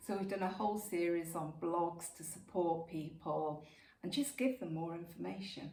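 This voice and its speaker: Through audible room echo and noticeable background noise, a woman speaks with a fairly low pitch and ordinary pitch variation. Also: moderate pace. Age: 60s. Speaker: supplement company founder. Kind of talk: casual interview.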